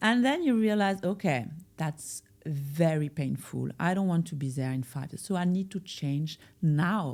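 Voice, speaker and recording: Speaking fairly slowly with a French accent, a woman has a fairly low, dark, mellow voice that is somewhat breathy, with lively intonation. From France. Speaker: life coach. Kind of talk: podcast interview. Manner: hesitant, with fillers.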